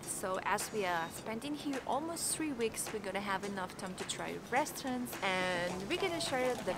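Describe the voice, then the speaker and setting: At a moderate pace, a woman speaks over clear music in the background. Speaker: travel vlogger. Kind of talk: casual vlog chat. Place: street. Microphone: phone near.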